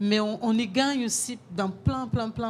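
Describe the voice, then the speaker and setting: A woman with a Brazilian accent and fairly even intonation. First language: Portuguese (speaking French). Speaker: chef. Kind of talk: panel discussion.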